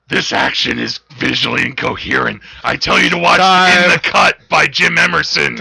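A man puts on a raspy character voice. He keeps a moderate pace with hardly any pauses. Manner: gruff, serious.

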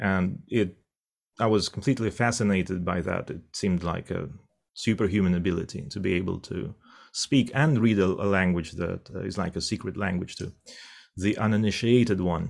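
Someone speaks in a Russian accent with ordinary pitch variation, in a very clean recording with a silent background. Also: man, very deep, low pitch for a man, moderate pace. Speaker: interpreter and professor. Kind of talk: interview. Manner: halting.

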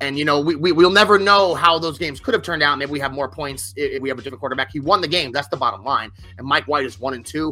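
The speech rushes at a very fast pace with hardly any pauses. Intonation is lively, and music plays in the background. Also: man, fairly high pitch for a man. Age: 40s. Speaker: sports podcast host. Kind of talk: casual chat. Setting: studio. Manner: animated.

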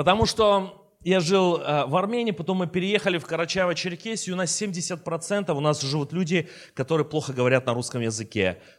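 Lively intonation colors the high-pitched speech of a man. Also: moderate pace. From Armenia. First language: Armenian (speaking Russian). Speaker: bishop. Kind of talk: sermon. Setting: church.

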